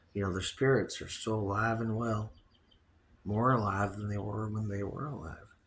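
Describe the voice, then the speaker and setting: The delivery is moderately paced. There is a somewhat breathy quality to the voice. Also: man. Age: 60s. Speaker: podcast host. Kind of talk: casual monologue. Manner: rambling, animated.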